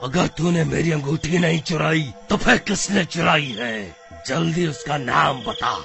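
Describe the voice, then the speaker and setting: Over clear background music, a man performs a cartoonish character voice at a fairly slow pace. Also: fairly high pitch for a man. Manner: menacing, demanding.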